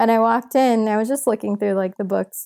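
This very clean recording has a silent background and features a woman with an American accent. Her fairly high voice has a dark, mellow tone and fairly even intonation. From US Midwest, Michigan. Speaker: travel photographer and author. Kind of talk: casual interview.

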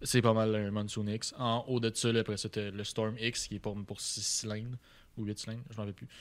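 Fairly quick, monotone, flat delivery in a Quebec accent, on a very clean recording with a silent background. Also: man. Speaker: car tuning shop owner. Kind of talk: casual interview.

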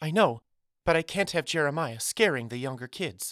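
At a moderate pace, a shaky, put-on character voice holds a middle pitch.

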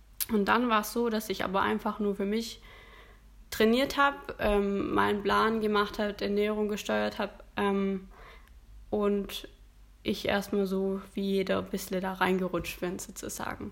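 Pausing long and often, a woman speaks at a fairly slow pace and medium pitch with fairly even intonation. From Stuttgart area, Germany. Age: 20s. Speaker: amateur bodybuilding competitor. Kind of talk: casual interview. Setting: in person, same room as host.

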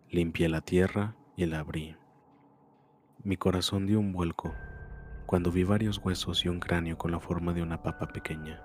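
With long, frequent pauses, a man speaks very deep and low with fairly even intonation. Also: moderate pace. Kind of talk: ghost story telling. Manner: first-person creepypasta reading with mounting dread.

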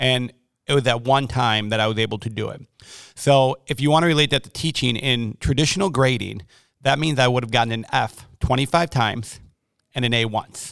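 A man with an American accent and a normal speaking voice, medium in pitch, ordinary pitch variation, fairly quick pace. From Wisconsin (Milwaukee). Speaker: elementary school principal. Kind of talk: casual interview.

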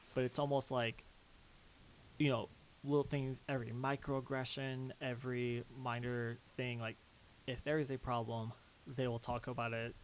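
Monotone and flat in intonation, the speech moves at a fairly slow pace. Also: man. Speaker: LGBT and mental health activist. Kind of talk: casual chat.

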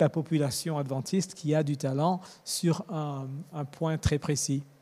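A dark, mellow tone at a very slow pace. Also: man. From Mauritius, raised in Madagascar and East/West Africa. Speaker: church media engineer. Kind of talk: interview. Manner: halting.

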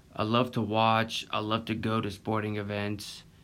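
Speaking in a Southern US accent, a man uses a fairly low pitch. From Florida Panhandle. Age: 20s. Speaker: podcast host. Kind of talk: casual monologue.

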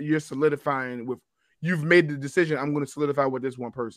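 A man with an American accent at a very fast pace, fairly high in pitch, fairly even in intonation, on a very clean recording with a silent background. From Baltimore, US. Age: 40s. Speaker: podcast co-host, teacher. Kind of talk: casual chat.

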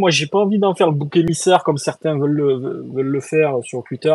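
Recorded dry and close with no echo, a man with fairly high pitch speaks at a moderate pace with ordinary pitch variation. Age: 30s. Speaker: podcast host. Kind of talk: casual chat. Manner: animated.

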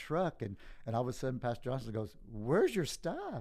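The speaker is a man with a medium pitch. He talks at a moderate pace in a dark, mellow tone. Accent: Southeast Texas. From Southeast Texas. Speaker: pastor. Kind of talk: interview about life story.

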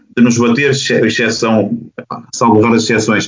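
This is a man with a medium pitch. He talks at a very fast pace. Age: 40s. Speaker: basketball coach. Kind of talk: panel discussion.

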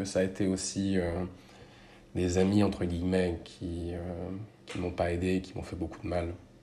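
In a very deep, low voice with a dark, mellow, somewhat breathy tone, a man speaks at a fairly slow pace in a flat monotone, with audible room echo. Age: 30s. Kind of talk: personal testimony. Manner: measured, with frequent hesitations.

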